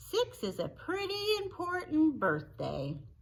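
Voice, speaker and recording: In a squeaky, warm-toned put-on character voice, someone speaks at a fairly slow pace over light background noise. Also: woman, extremely high pitch for a woman. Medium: read story. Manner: warm, hearty.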